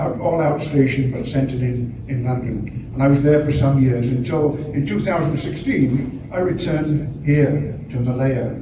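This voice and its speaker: Through noticeable background noise and audible room echo, a man speaks at a medium pitch with fairly even intonation. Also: moderate pace, hardly any pauses. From northern England, Sheffield, Yorkshire. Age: 80s+. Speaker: architecture professor and author. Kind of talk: talk. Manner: halting, many hesitations and repetitions.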